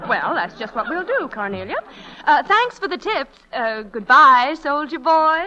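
Using a put-on character voice, a woman speaks high and with a bright, sharp tone, her pitch swinging widely at a fairly slow pace.

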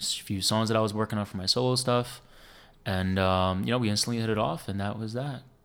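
The speaker has a New Jersey accent and ordinary pitch variation. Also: man. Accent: New Jersey American. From US Northeast, New Jersey. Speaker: instrumental guitarist. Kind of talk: casual interview chat.

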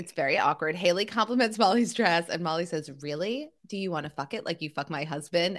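An ordinary speaking voice from a woman, fairly low in pitch, fairly quick, with lively intonation and hardly any pauses. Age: 40s. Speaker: podcast co-host recapping a TV show. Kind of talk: casual chat recap.

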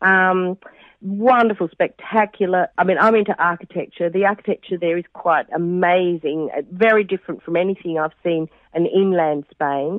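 At a moderate pace, a woman with an Australian accent speaks at medium pitch with ordinary pitch variation. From Western Australia. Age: 50s. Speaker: pilgrim and mother. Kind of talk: casual interview. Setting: phone call. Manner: cheerful, warm.

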